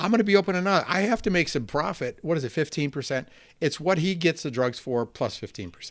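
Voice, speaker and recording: A man with an American accent talks very fast in an animated tone. His loudness swings widely. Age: 60s. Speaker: soccer coach and author. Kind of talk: casual chat. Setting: podcast interview.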